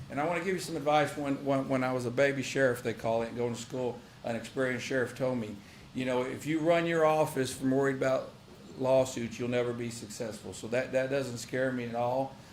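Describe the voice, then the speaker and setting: A man with a Texan accent talks at a fairly quick pace and medium pitch, his intonation fairly even, with audible room echo. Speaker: county sheriff. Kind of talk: public meeting report. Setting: county commissioners' court session. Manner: fast.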